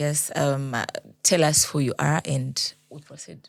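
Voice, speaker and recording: At a fairly slow pace, a woman with a very deep, low voice speaks with fairly even intonation and big swings in loudness. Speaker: podcast host. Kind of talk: interview host.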